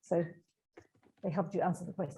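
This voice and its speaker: A woman speaks with a Swedish accent. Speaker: meeting moderator. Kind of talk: Q&A moderation.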